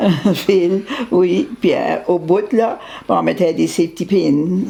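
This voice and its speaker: The woman's delivery is very slow. Noticeable background noise can be heard throughout. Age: old. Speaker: great-grandmother recalling her childhood village. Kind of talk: interview answer. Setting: home, conversation with a family member.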